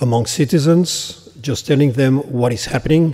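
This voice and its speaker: Ordinary pitch variation and a moderate pace from a man, with noticeable background noise behind him. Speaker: government program director. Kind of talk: conference speech. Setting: conference stage with audience. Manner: halting.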